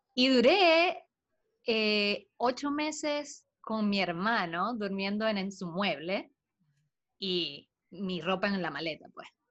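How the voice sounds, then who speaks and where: At a very slow pace, a woman speaks at medium pitch with very wide pitch swings. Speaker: podcast co-host. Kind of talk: casual chat.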